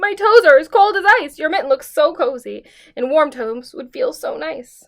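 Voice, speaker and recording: A woman puts on a character voice, talking in a high pitch at a moderate pace. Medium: read story.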